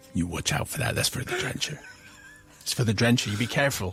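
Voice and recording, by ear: A man's gruff, growling put-on character voice in a West Country accent, medium in pitch and very fast, with music in the background. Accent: broad West Country.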